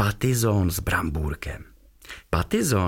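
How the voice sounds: The reading voice is natural, and the intonation moves in a lively way.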